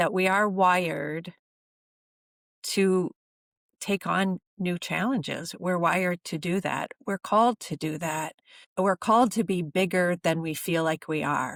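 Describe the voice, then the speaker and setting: On a very clean recording with a silent background and a dry, close sound with no echo, a woman speaks at a fairly low pitch with ordinary pitch variation. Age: 60s. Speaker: energy therapy practitioner and coach. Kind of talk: podcast interview. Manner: halting, many fillers and false starts.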